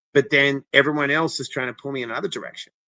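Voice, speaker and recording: A man speaks with a non-native accent. His tone is energetic and animated. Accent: foreign accent, noticeable. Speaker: interventionist, former TV personality. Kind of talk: interview, personal story. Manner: energetic, animated.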